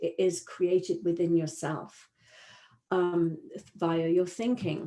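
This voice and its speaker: The tone is dark and mellow, with a British accent. Pitch variation is ordinary. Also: woman. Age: 60s. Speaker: three principles practitioner. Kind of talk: webinar talk. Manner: hesitant, many fillers and repetitions.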